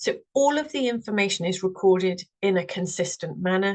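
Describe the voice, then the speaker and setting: With a Welsh accent, a woman speaks at a moderate pace and a medium pitch. The sound is dry and close, with no echo. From Wales. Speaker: representative of a standards organisation. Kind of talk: webinar presentation.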